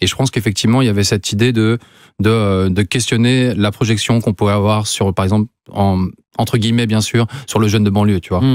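Quick-ish and flat, a man speaks in a monotone at a fairly low pitch. The sound is dry with no echo against a quiet background. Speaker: visual artist, photographer; guest. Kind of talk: interview. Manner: halting, many fillers. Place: studio. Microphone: studio mic.

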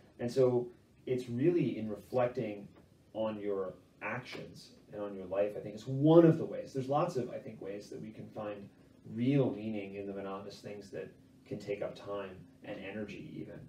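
Amid light background noise and audible room echo, a man speaks with big swings in loudness. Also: fairly low pitch for a man, ordinary pitch variation, moderate pace. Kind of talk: interview answer. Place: home room. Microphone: camera far.

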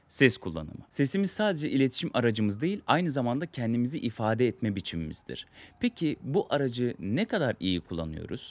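A man at a fairly quick pace, with very wide pitch swings and hardly any pauses. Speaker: communication skills coach. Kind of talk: tutorial. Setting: outdoors in sunlight. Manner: fast. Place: garden. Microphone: studio mic.

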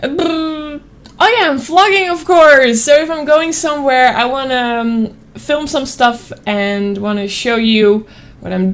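A woman with a Dutch accent speaks at a fairly slow pace. Her high voice carries lively intonation. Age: 20s. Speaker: streamer. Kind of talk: casual vlog talk. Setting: at home desk with webcam. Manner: animated. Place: home room. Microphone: studio mic.

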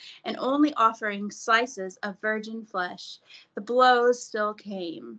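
The speaker is reading aloud in a natural voice, with ordinary pitch variation. The background is quiet.

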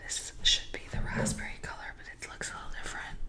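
A woman whispers, soft-spoken and fairly quick. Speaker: art creator. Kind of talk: casual tutorial chat. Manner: soft ASMR whisper. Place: home room.

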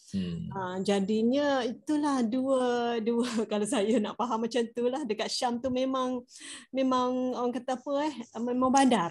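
A woman speaks with a high pitch and fairly even intonation. She goes at a fairly slow pace against a quiet background. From Malaysia. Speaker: study circle participant. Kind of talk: discussion. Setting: video call. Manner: halting, many fillers. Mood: calm, reflective. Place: home room. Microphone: video call.

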